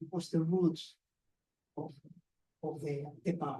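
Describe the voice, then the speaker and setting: A man with a non-native accent speaks at a high pitch with a dark, mellow tone. His pace is fairly slow. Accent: foreign. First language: not English. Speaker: graphic novelist and award judge. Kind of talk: panel discussion. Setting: bookshop event with audience. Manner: halting.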